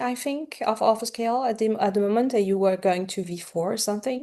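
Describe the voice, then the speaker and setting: Speaking with a slight French accent, a woman uses ordinary pitch variation. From France. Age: 40s. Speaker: romance author. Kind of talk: interview. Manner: animated.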